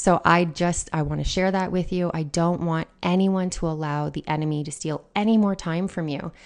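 A woman talks at a moderate pace in a fairly low pitch. Her pitch varies in an ordinary way, and the background is quiet. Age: 30s. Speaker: podcast host, pastor's wife. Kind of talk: devotional talk. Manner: conversational, with fillers and laughter.

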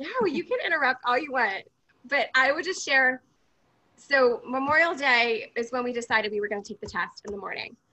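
Raised and projected, a woman's high-pitched voice moves at a fairly quick pace with lively intonation and a bright, sharp tone. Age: 30s. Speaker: podcast guest sharing infertility story. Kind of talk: casual chat.

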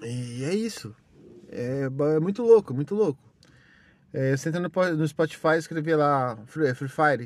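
This man's fairly high voice moves at a fairly slow pace with lively intonation and long, frequent pauses. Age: 30s. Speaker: podcaster. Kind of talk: casual monologue. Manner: animated.

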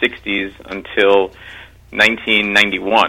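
A man with a New York accent. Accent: New York area American. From New York, Mount Vernon (Westchester). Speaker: congressional candidate and teacher. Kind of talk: radio interview. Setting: phone call.

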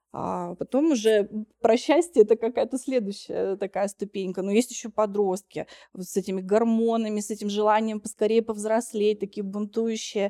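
A woman speaks at a moderate pace and a fairly high pitch, her tone dark and mellow and her intonation fairly even. Her loudness swings a lot, and the sound is dry and close with no echo. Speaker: psychotherapist and lecturer. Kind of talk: casual interview discussion.

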